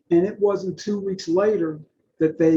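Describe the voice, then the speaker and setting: A man speaks in a dark, mellow tone with an American accent. His pace is fairly slow and his intonation fairly even. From Virginia, US South. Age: 60s. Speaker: public speaker in addiction recovery. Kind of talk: interview testimony.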